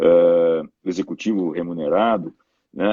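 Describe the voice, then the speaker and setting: Very deep and low, a man's voice carries a dark, mellow tone. The recording has a dry, close sound with no echo. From southern Brazil, Porto Alegre. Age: 60s. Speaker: sports marketing specialist. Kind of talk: interview. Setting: live stream.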